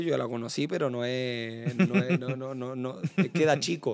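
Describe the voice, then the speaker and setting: This is an ordinary speaking voice at a fairly slow pace. Its intonation stays fairly even. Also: man. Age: 20s. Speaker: professional footballer. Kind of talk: casual interview chat.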